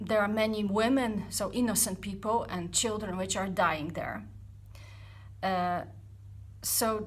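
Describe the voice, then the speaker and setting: Amid audible room echo, a woman with a Polish accent speaks at medium pitch with vocal fry and fairly even intonation. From Poland. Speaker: startup founder vlogger. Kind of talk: personal vlog reflection. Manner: halting, many fillers; deliberately not fast.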